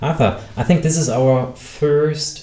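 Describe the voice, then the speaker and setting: A man's very slow speech comes through with noticeable background noise and an audible echo from the room. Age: 30s. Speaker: podcast host. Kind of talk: podcast interview.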